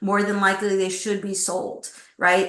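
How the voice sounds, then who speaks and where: The tone is bright and sharp, delivered at a moderate pace. Audible room echo surrounds the voice. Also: woman. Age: 60s. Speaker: executive recruiter. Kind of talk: interview.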